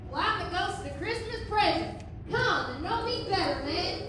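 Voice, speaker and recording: A put-on character voice comes at a moderate pace. Clear echo and loud background noise fill the recording. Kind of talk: Old West folksy dialect. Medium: stage play. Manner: hearty, folksy.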